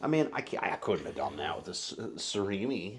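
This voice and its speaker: A loud man's voice, very fast, with lively intonation. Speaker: food review youtuber. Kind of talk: casual chat.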